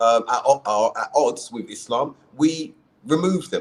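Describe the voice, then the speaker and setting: This is a man with a fairly high pitch. He speaks in a South London accent. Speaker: podcast host, convert to Islam. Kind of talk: casual chat.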